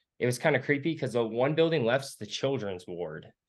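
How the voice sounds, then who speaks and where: With a quiet background, a man with a normal speaking voice talks at a fairly quick pace, his medium pitch showing ordinary variation. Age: 20s. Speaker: urban explorer and photographer. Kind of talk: casual interview.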